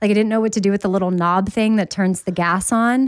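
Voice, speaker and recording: With a plain, everyday voice, a woman holds a medium pitch and keeps her intonation fairly level. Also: very clean recording, silent background. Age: 40s. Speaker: podcast co-host. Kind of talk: casual chat.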